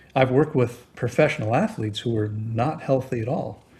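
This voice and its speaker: Man's somewhat breathy speech, pitch varying in an ordinary way. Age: 60s. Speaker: fasting expert. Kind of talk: interview. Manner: halting.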